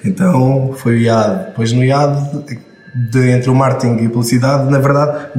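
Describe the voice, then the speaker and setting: The voice moves at a fairly quick pace with fairly even intonation, with audible room echo and noticeable background noise. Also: man. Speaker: marketing and advertising student turned creative. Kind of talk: casual interview chat.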